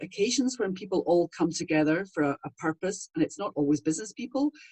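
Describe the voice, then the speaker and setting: A fairly quick delivery with very wide swings in pitch. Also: woman. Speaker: voiceover artist. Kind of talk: interview answer. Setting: home studio.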